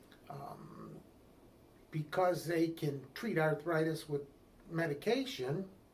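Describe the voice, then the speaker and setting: A man talks very slowly, leaving long, frequent pauses, at a fairly high pitch with ordinary pitch variation. Noticeable background noise runs under him. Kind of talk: interview.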